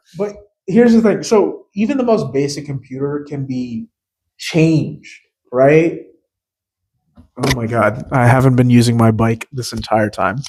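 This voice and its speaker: Loud and fairly high-pitched for a man, he talks at a fairly slow pace with very wide pitch swings and long, frequent pauses. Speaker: podcast co-host. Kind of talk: casual chat.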